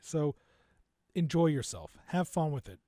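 Recorded very cleanly against a silent background, a man with an American accent speaks at a fairly high pitch in a dry, close sound with no echo. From New Jersey. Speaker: podcast producer, entrepreneur. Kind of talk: interview.

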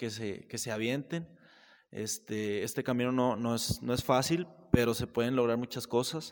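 A man with an unremarkable speaking voice, medium in pitch with ordinary pitch variation, at a moderate pace on a very clean recording with a silent background. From Mexico, Saltillo. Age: 20s. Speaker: barber and entrepreneur. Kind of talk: casual chat.

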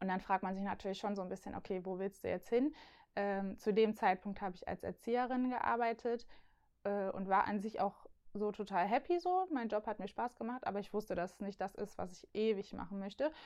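Speaking at a fairly quick pace, a woman with an unremarkable speaking voice keeps a medium pitch and ordinary pitch variation. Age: 20s. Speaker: youth church worker. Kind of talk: casual chat.

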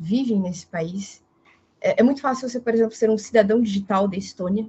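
The woman speaks in a somewhat breathy voice at a medium pitch, with ordinary pitch variation. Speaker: political consultant. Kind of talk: casual chat.

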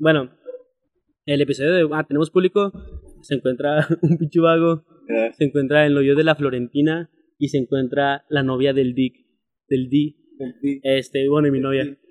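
A man with a fairly high pitch talks at a moderate pace, with fairly even intonation and long, frequent pauses. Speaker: podcast host. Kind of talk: casual chat.

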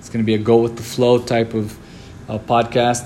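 A man's voice over noticeable background noise. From Lebanon and Brazil. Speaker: business owner, podcast host. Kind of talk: solo podcast monologue. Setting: office.

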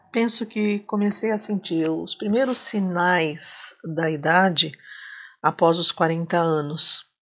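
A woman speaks very slowly in a fairly low pitch with ordinary pitch variation. The recording is very clean, with a silent background. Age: old. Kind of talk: testimony.

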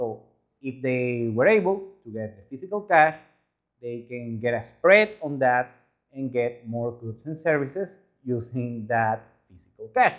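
In a Spanish accent, the speaker talks at a fairly slow pace with lively intonation, big swings in loudness, and long, frequent pauses. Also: man, medium pitch for a man. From Venezuela. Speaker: YouTuber reacting to travel videos. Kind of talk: video commentary.

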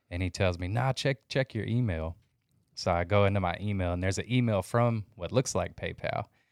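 An ordinary speaking voice: a man with fairly low pitch and ordinary pitch variation talks at a fairly quick pace, recorded very cleanly against a silent background with a dry, close sound and no echo. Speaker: reseller podcaster. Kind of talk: casual chat.

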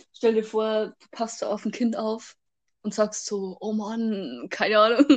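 A woman talks fairly slowly in an ordinary speaking voice, with a fairly high pitch, fairly even intonation and big swings in loudness. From Bavaria. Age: young. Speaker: podcast co-host. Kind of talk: casual chat. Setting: remote recording.

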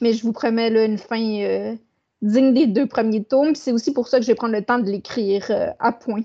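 Delivered at a moderate pace with fairly even intonation, it is a plain, everyday voice. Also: woman, fairly high pitch for a woman. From Quebec, Saguenay. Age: 30s. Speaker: author and publisher. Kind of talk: interview.

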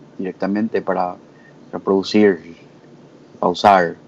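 A man's fairly low voice in a flat monotone. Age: 20s. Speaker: lawyer, community member. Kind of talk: casual panel discussion.

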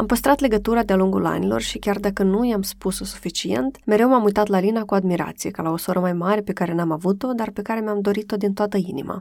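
A woman talks at a very fast pace with hardly any pauses. Her pitch is medium, and its variation is ordinary. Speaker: podcast host. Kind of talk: interview.

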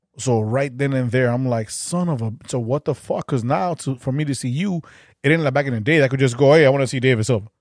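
A man with a Chicago accent speaks at a very fast pace, his medium pitch showing ordinary variation. The recording is very clean, with a silent background. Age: 40s. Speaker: podcast host. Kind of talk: casual chat.

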